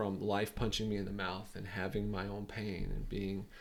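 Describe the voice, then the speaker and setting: Fairly low male voice with a North Carolina accent. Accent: Southern US (North Carolina). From US South, North Carolina (Sanford). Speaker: business coach. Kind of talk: podcast interview.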